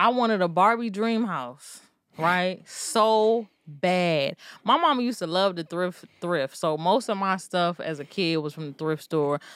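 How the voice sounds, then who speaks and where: Against a very clean recording with a silent background, an ordinary speaking voice with an American accent moves at a fairly slow pace with lively intonation. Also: woman, medium pitch for a woman. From Maryland, US. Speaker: podcast host. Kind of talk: casual chat.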